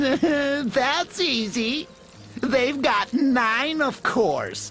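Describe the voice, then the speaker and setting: Clear music plays in the background as a put-on character voice speaks at a very slow pace. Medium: video game. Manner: good-natured, giggly.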